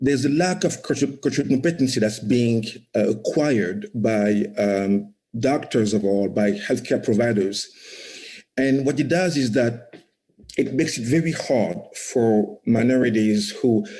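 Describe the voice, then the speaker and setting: A man speaks at medium pitch and a fairly slow pace, his tone dark and mellow. His intonation is lively, and there is audible room echo. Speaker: startup founder. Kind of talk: conference talk. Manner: frequent repetitions and fillers.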